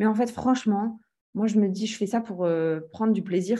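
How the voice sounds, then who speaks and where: Against a silent background in a very clean recording, a dark, mellow tone carries fairly even intonation. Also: woman. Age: 30s. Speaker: real estate trainer and entrepreneur. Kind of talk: interview.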